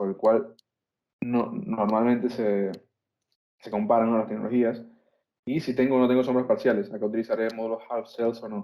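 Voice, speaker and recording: The man speaks at medium pitch, leaving long, frequent pauses. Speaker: solar energy instructor. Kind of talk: online lecture. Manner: fast; hesitant fillers.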